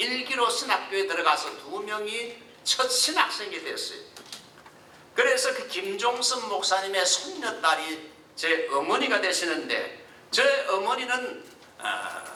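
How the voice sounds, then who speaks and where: Raised and projected, a man's voice sits at an extremely high pitch with very wide pitch swings and a very slow pace, amid noticeable background noise and audible room echo. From South Korea. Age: 70s. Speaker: pastor. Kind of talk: sermon.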